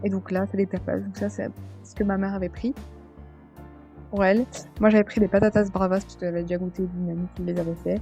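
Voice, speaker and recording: Very fast speech with long, frequent pauses and big swings in loudness, over music in the background. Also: woman. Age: 20s. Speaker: vlogger. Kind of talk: commented slideshow vlog. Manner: hesitant, many fillers.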